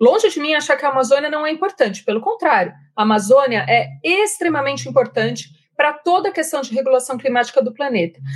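A woman with a São Paulo interior accent speaks at a very fast pace. Her high voice swings very widely in pitch. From Jundiaí, interior of São Paulo, Brazil. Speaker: marine scientist. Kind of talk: interview.

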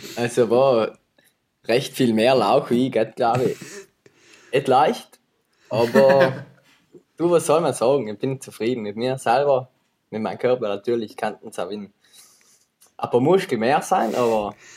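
Pausing long and often, a man speaks at a fairly slow pace with medium pitch and ordinary pitch variation. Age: 20s. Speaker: videographer and filmmaker. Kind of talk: casual chat.

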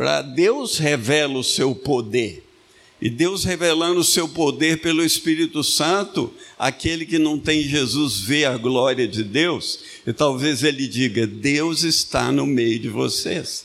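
A man with vocal fry and a fairly high pitch speaks very slowly. His loudness stays very even, and his pitch varies in an ordinary way. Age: 70s. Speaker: pastor. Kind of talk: sermon. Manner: animated.

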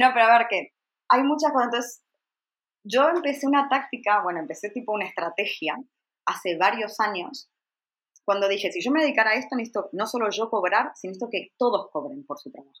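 A woman's fairly high-pitched, normal speaking voice at a fairly quick pace, with lively intonation and big swings in loudness. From Argentina. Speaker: travel blogger and journalist. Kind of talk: interview.

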